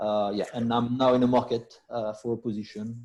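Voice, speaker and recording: With a French accent, a man speaks at a moderate pace in a dark, mellow, medium-pitched voice with monotone, flat intonation. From France. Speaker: business executive. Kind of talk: self-introduction at networking meeting. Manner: halting, many fillers.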